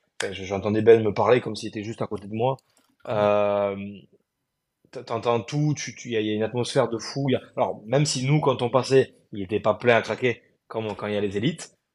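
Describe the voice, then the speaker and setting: In a normal speaking voice, a man talks at a moderate pace and medium pitch with fairly even intonation. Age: 20s. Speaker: adaptive CrossFit athlete. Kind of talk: interview.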